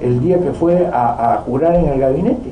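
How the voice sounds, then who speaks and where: A man's voice with lively intonation at a moderate pace, with noticeable background noise and audible room echo. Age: 60s. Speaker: politician. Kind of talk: political talk. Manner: halting.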